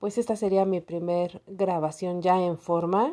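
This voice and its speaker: Here a woman speaks in a dark, mellow tone. Her pace is fairly slow and her intonation fairly even. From Mexico, Estado de México. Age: 40s. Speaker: personal storyteller podcaster. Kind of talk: personal testimony monologue.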